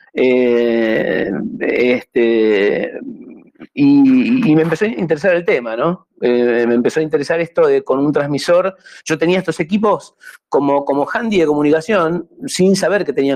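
A fairly high-pitched man at a fairly slow pace, with very wide pitch swings and very even loudness. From Argentina. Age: 60s. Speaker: amateur radio operator. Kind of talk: talk with slides. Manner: halting, repetitive.

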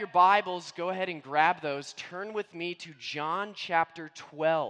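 With ordinary pitch variation, a man talks in a high pitch. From US Midwest/Northeast (Indiana, Scranton Pennsylvania). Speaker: guest preacher. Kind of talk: sermon.

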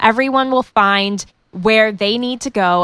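A woman with an unremarkable speaking voice talks at a fairly slow pace, fairly high in pitch with lively intonation. The recording is very clean, with a silent background. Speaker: wrestling fan and guest co-host. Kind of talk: casual chat about wrestling.

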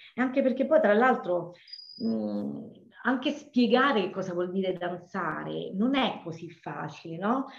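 A woman speaks at a medium pitch and a fairly slow pace, her voice swinging very widely in pitch amid audible room echo. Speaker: dance teacher. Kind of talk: interview. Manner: energetic; halting with fillers.

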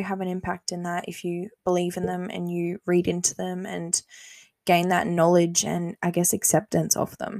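With an Australian accent and a fairly low pitch, a woman speaks at a moderate pace in a very clean recording with a silent background, the sound dry and close with no echo. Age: 20s. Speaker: podcast host. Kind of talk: casual solo monologue.

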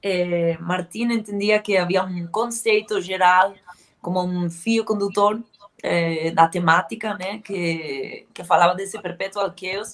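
At a very slow pace, a woman talks at medium pitch with fairly even intonation and big swings in loudness. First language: Spanish or Galician (speaking Portuguese). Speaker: heavy metal band vocalist. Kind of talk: interview. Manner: halting.

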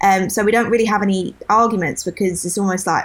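A woman with a southern English accent talks at a very fast pace, her intonation fairly even. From southern England. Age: 20s. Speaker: podcast co-host. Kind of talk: casual chat.

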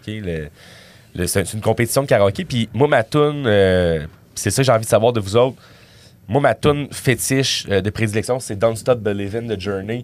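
In a Quebec accent, a man with a medium pitch speaks at a moderate pace with ordinary pitch variation, recorded very cleanly against a silent background. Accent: Québécois French. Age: 30s. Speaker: comedian. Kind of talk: casual chat.

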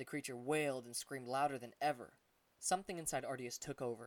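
This plain reading aloud keeps its intonation fairly even.

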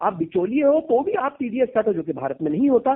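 At a moderate pace, a man talks with lively intonation and an extremely high pitch. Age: 50s. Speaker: crypto startup founder. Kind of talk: interview.

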